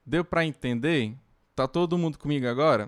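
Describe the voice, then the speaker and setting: At a moderate pace, a man speaks at a fairly high pitch, with a dry, close sound and no echo. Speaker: university lecturer. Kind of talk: lecture. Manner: halting.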